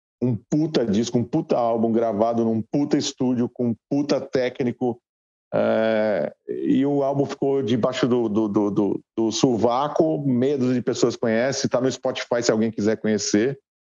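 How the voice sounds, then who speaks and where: With hardly any pauses, a man speaks fairly slowly in a dark, mellow tone at very even loudness. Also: medium pitch for a man, fairly even intonation. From Guarulhos, São Paulo, Brazil. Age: 40s. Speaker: rock musician. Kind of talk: casual interview.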